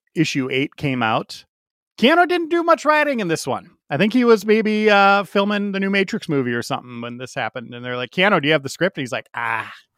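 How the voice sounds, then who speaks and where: Recorded with a dry, close sound and no echo, a man talks at a fairly quick pace in a high voice. His pitch swings very widely and his loudness shifts a lot. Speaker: comic book podcast co-host. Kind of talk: casual chat.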